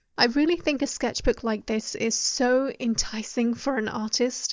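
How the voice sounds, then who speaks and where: In a British accent, a woman with a high pitch speaks at a moderate pace with fairly even intonation against a quiet background. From UK. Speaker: artist YouTuber. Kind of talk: voice-over narration.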